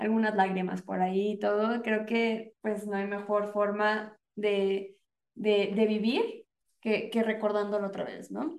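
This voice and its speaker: Her voice sits at a medium pitch, with a Mexican accent. The woman speaks at a very slow pace in a monotone, flat manner. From Mexico. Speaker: podcast host. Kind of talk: casual chat.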